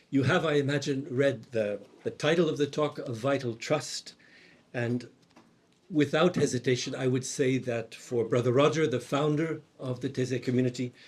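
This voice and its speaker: Somewhat breathy, this voice keeps a moderate pace and a fairly even intonation. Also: man, medium pitch for a man. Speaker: monk and theology teacher. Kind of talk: conference talk. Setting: conference hall with audience. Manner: soft-spoken.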